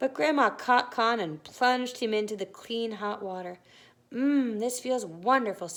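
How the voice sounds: The speaker reads in a natural voice. Pitch moves in an ordinary way.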